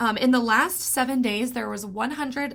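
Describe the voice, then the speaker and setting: A woman speaks in a fairly high pitch. Her voice has vocal fry. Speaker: real estate agent. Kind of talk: market update vlog. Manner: fast.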